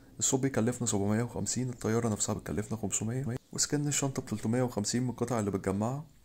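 Fairly quick speech from a man, medium in pitch, dark and mellow in tone, with fairly even intonation. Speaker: gaming youtuber. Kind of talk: tutorial.

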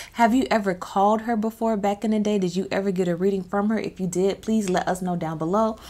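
With fairly even intonation, a woman talks at a fairly quick pace. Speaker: witchcraft vlogger. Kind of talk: casual vlog chat. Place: home room. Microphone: studio mic.

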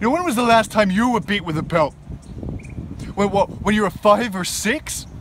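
At a moderate pace and with hardly any pauses, the speaker uses ordinary pitch variation, with a dry sound with no echo and light background noise. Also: man, high pitch for a man. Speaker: actor. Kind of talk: dramatic monologue, a suspect's bitter confession-like speech to a detective. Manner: simmering, accusatory menace building to raw grief-stricken anger; sarcastic, taunting rhetorical questions. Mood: bitter, grieving, confrontational. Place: garden. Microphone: phone near.

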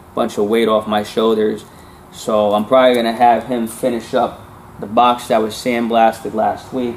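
Light background noise sits behind the recording. A man speaks at a fairly slow pace. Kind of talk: casual vlog chat. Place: workshop. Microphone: camera far.

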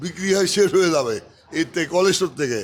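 A man speaks at a high pitch, moving it with ordinary variation. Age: 60s. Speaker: wholesale onion trader. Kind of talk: market interview.

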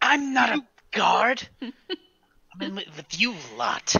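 Very slowly, the speaker delivers a put-on character voice at a fairly high pitch. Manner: curt, condescending, defensive.

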